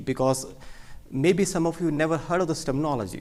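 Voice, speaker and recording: A man with an Indian accent talks at a fairly quick pace with lively intonation. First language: Hindi. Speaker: cardiologist. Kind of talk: medical lecture. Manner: fast.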